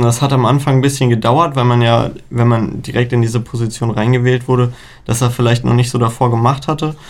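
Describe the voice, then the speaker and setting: Speaking fairly quickly at a medium pitch, a man keeps a flat, monotone delivery and very even loudness. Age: young. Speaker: student council chair. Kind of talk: casual interview.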